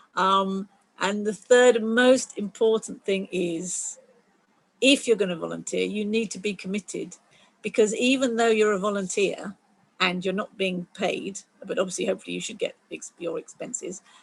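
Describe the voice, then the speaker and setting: A woman speaks at a moderate pace with a medium pitch and ordinary pitch variation. Her voice is somewhat breathy. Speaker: STEM volunteer coordinator at a planetarium. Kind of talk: online community call presentation.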